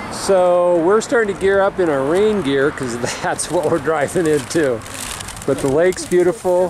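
A man talks at a moderate pace against noticeable background noise. The sound is dry, with no echo. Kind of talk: casual vlog chat. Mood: relaxed, cheerful. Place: waterside. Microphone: phone near.

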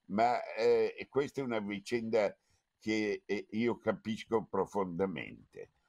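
Against a quiet background, a man talks at a very slow pace in a dry sound with no echo. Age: 80s+. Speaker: foundation president; event host giving introductory remarks. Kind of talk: speech; formal speech with personal memory. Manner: halting. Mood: grave, reflective. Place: home room. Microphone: webcam.

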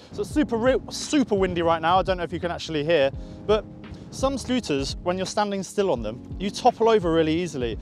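A man talks at a high pitch and a very fast pace, with very wide pitch swings. Music plays in the background, and the sound is dry with no echo. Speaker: scooter reviewer. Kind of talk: casual product review to camera. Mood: playful and jokey. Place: open country. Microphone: lapel.

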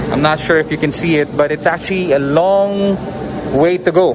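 Loud background noise runs behind the speaker. A man speaks at a fairly slow pace. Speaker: travel vlogger. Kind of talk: casual vlog chat. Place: tunnel cave. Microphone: phone near.

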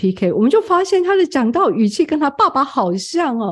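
The woman talks fairly quickly. Her pitch rises and falls very widely. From Taiwan, Tamsui. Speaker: seminary president and homiletics professor. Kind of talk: interview.

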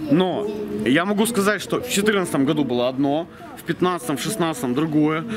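Amid noticeable background noise, a man with a fairly high pitch and lively intonation talks at a moderate pace. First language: Russian. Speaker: local small-business owner; interviewee. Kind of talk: street interview. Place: street. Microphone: camera far.

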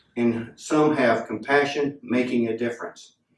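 Audible room echo surrounds the voice. A man speaks at a fairly slow pace. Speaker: pastor. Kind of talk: scripture reading and prayer. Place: church.

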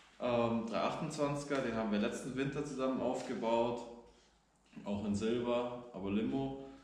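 There is audible room echo around this man's voice. His speech has ordinary pitch variation. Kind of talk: casual vlog chat. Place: garage. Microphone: camera far.

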